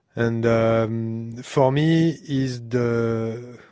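A man with a French accent, medium pitch, fairly even intonation and a very slow pace. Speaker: sound engineer. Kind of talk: casual chat. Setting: studio. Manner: halting, laughs often.

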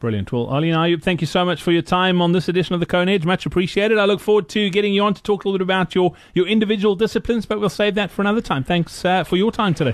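At a very fast pace, a man talks in a high pitch with very even loudness. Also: ordinary pitch variation, hardly any pauses. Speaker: podcast host. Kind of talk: interview. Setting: home studio with background noise.

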